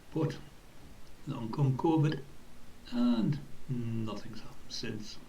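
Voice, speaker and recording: A man's medium-pitched voice with ordinary pitch variation, very slow and full of long, frequent pauses, with audible room echo and noticeable background noise. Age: 60s. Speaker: football club volunteer. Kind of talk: personal reflection.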